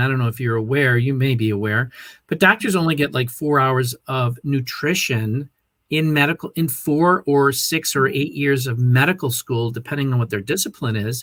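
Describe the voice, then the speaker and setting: On a very clean recording with a silent background, a man uses an ordinary speaking voice at a medium pitch and a moderate pace. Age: 60s. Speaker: health and wellness coach. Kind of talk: interview.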